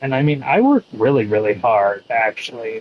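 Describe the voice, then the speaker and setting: A man with a dark, mellow tone. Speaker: video game streamer. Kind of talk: casual chat. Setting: live stream. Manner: slow.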